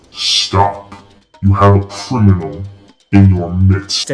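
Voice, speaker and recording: A man's put-on character voice, guttural and robotic, very slow and fairly low-pitched, over faint music in the background. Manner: commanding, accusing.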